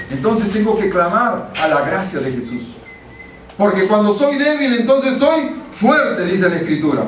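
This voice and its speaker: Shouting at a moderate pace, a man with a high pitch swings his voice very widely, with audible room echo and noticeable background noise. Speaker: pastor. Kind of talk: sermon. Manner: sounds like shouting.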